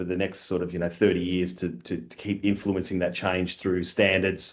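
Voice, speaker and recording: The speaker has an Australian accent and keeps a moderate pace. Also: man. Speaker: construction industry scheme chief executive. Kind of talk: podcast interview.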